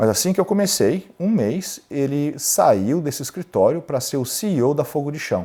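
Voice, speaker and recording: A man's voice carries a dark, mellow tone with vocal fry. His pitch swings very widely, in a very clean recording with a silent background. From Brazil, São Paulo. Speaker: lawyer and entrepreneur. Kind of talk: interview storytelling.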